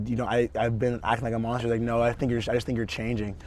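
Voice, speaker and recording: A man speaks at a medium pitch. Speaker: podcast co-host. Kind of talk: casual chat. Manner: halting, repetitive.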